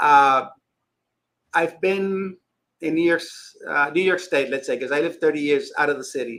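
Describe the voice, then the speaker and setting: With a Spanish accent, a man speaks at a moderate pace in a high, bright, sharp voice, his intonation fairly even and broken by long, frequent pauses. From Dominican Republic. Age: 60s. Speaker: fishkeeping YouTuber. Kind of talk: casual chat.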